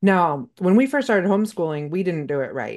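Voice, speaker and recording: A woman speaks in a normal speaking voice. The background is quiet. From Northern California, Mendocino County. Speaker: podcast host and homesteader. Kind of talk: casual interview chat.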